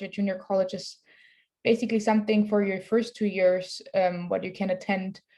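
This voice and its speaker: This woman has a German accent and a dark, mellow tone at a medium pitch. She speaks at a fairly quick pace with monotone, flat intonation. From Germany. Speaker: student athlete. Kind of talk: panel discussion.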